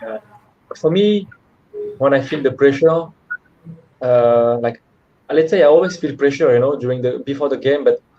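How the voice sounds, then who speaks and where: At a moderate pace, a man with a fairly high voice speaks, leaving long, frequent pauses. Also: ordinary pitch variation. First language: French. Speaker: professional footballer. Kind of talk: interview. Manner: halting.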